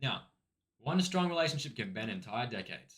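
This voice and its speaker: Words pour out very fast from a man. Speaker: self-improvement video creator. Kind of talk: casual talking-head advice video. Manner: halting, many false starts.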